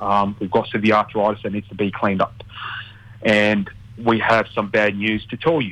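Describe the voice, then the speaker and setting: A man with an Australian accent, fairly low pitch, monotone, flat intonation and a moderate pace. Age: 30s. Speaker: mortgage broker. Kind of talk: casual radio interview. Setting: radio studio. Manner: halting, filler-heavy.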